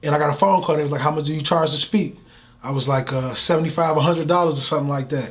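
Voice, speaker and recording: A man with a somewhat breathy, fairly high voice talks at a very fast pace. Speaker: motivational speaker. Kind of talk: interview. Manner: animated.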